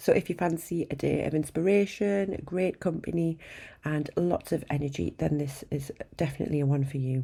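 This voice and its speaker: A woman's very deep, low voice, dark and mellow in tone, with ordinary pitch variation. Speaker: podcast host. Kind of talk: podcast intro.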